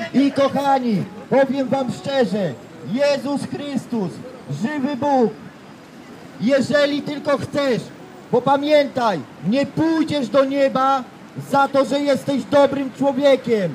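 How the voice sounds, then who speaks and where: A man talks at a very slow pace with an extremely high pitch and ordinary pitch variation. Long, frequent pauses come through over light background noise. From Poland, Elbląg; Poland. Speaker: street evangelist. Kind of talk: street preaching testimony. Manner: emphatic. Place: street. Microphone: handheld.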